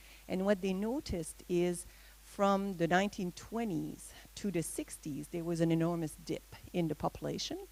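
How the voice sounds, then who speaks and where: Here a woman speaks with a Quebec accent. Her pace is moderate. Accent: Québécois French accent in English. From Quebec, Gaspé Peninsula (Matane). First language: French. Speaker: veterinarian. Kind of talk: presentation. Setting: talk with audience, microphone. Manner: halting, many fillers.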